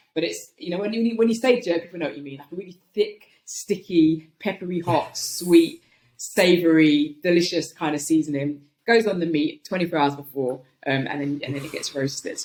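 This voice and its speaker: With a London accent, a woman with a fairly low pitch talks at a moderate pace using lively intonation. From London, England. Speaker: comedian and writer. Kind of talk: casual interview chat. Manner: animated.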